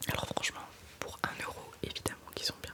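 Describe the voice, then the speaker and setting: A woman whispers over noticeable background noise. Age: 20s. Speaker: ASMR creator. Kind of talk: ASMR makeup talk to camera. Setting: studio. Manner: casual, conversational, slightly complaining.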